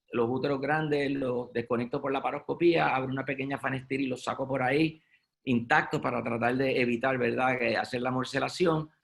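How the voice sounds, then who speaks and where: The voice is a normal speaking voice from a man at a medium pitch. He talks at a fairly quick pace with fairly even intonation. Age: 60s. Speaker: gynecologic surgeon. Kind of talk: medical webinar lecture. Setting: online webinar.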